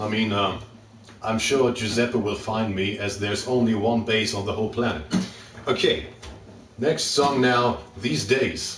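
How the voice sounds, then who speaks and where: In a room with audible echo and noticeable background noise, a man with a German accent speaks at a fairly slow pace and medium pitch, with fairly even intonation and long, frequent pauses. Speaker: singer-songwriter. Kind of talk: live stream concert banter. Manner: hesitant.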